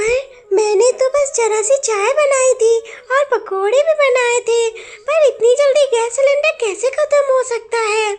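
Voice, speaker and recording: A woman uses a cartoonish character voice pitched extremely high, with fairly even intonation. She talks at a moderate pace. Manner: polite, gentle.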